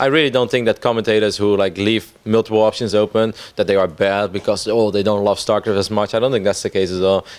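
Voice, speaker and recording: A man talks at a very fast pace. His voice is fairly low with fairly even intonation. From Netherlands. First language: Dutch. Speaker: esports commentator. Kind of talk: interview. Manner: casual.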